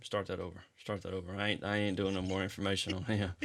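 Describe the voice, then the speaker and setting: Talking at a very fast pace, a man speaks in a Southern US accent. The recording is very clean, with a silent background. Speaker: podcast host. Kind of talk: casual chat.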